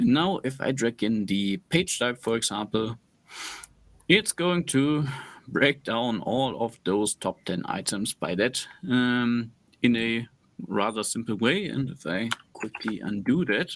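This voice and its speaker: A man with a non-native accent speaks fairly slowly at a medium pitch, with lively intonation. The recording is very clean and the background silent. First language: not English. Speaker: analytics expert answering questions. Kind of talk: screen-share tutorial.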